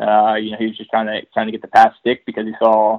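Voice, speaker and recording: A man talking at a very fast pace. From Texas. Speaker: motocross team mechanic. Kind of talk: casual interview.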